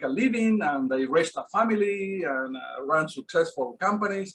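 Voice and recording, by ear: With a fairly bright tone, a man speaks at a fairly high pitch and uses lively intonation.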